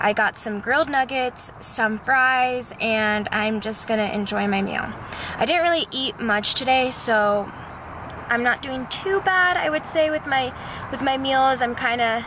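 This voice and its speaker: Amid noticeable background noise, a woman with a high pitch and ordinary pitch variation speaks at a fairly slow pace. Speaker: fitness trainer and vlogger. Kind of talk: workout tutorial voiceover; casual vlog chat. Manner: loud.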